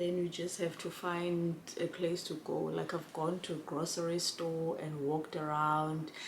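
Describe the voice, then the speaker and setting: A woman talks at a fairly low pitch and a fairly slow pace in a monotone, flat intonation, with hardly any pauses and audible room echo. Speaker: vlogger and care worker. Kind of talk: casual vlog chat.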